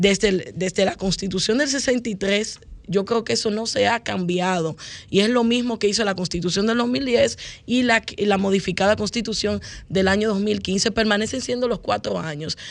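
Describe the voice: In a Dominican accent, a woman speaks at medium pitch and a moderate pace, with ordinary pitch variation and vocal fry.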